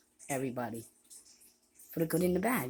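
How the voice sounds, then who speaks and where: The voice is quiet and moves at a moderate pace. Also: woman. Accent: American. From US, Haitian family. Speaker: vlogger. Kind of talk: rambling monologue video.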